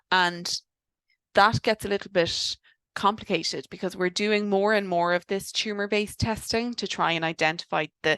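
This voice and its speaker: Against a quiet background, a woman with an Irish accent speaks at a medium pitch in a bright, sharp tone with fairly even intonation. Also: moderate pace, dry, close sound with no echo. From Ireland. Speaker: doctor specialising in cancer genetics. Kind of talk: webinar lecture. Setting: online webinar. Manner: casual, many fillers.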